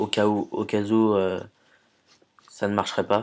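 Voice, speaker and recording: A man speaks in a fairly low pitch at a fairly slow pace. His intonation is flat and monotone, and the recording is very clean with a silent background. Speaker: YouTuber. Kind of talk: tutorial. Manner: hesitant.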